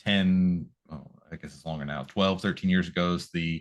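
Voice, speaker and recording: Against a quiet background, a man speaks with an American accent at a moderate pace. His pitch is very deep and low. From California. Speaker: school nutrition program director. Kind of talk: interview. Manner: polite, formal.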